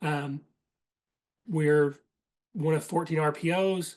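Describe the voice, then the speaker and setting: The speaker has a Southern US accent and fairly even intonation. The background is quiet. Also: man. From Eastern Kentucky. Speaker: certification manager leading a workshop. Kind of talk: presentation. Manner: fast; casual with frequent fillers.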